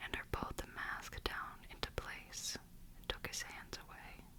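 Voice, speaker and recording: Very slow whispering over noticeable background noise. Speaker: ASMR audiobook reader. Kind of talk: audiobook reading. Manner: whispered.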